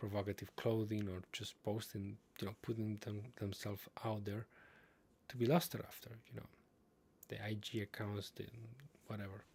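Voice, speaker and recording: Speaking with a non-native accent at a moderate pace, a man with a fairly low, somewhat breathy voice keeps fairly even intonation and takes long, frequent pauses. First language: not English. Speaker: streamer reading and commenting on online posts. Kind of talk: livestream commentary on read-out posts. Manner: halting, with fillers and repetitions.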